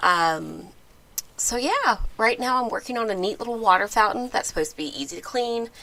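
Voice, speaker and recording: Fairly quick talking from a woman, pitched fairly high, with background noise clearly present. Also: lively intonation. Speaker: channel host, cat toy designer. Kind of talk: casual live stream chat. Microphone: close microphone.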